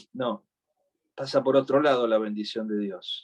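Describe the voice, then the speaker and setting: With an Argentine accent, a man speaks at a fairly slow pace. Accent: Rioplatense Argentine Spanish. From Argentina, Buenos Aires. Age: 60s. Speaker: preacher. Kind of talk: sermon.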